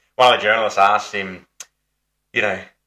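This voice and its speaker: Bright and sharp in tone, a man talks with an Australian accent. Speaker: football podcast host. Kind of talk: casual chat.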